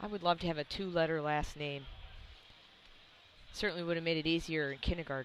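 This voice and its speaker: A woman with a Wisconsin accent, fairly low in pitch, at a very fast pace broken by long, frequent pauses, with fairly even intonation. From US Midwest, Wisconsin. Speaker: powerlifting referee and live commentator. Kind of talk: live commentary. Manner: casual, conversational.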